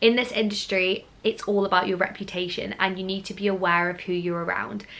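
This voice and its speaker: In a southern English accent, a woman speaks fairly quickly at a medium pitch with monotone, flat intonation. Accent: near-RP southern English, regionless. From Scotland, Glasgow. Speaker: drama school student and YouTuber. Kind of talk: vlog talk to camera.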